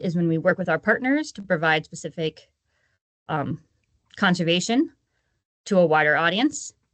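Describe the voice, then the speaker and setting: With a fairly low pitch and lively intonation, a woman speaks in a dry, close sound with no echo. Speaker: conservation agency presenter. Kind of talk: webinar presentation.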